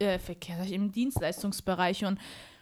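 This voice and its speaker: A woman speaking at a moderate pace. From Germany. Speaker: podcast guest. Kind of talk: casual chat. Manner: animated.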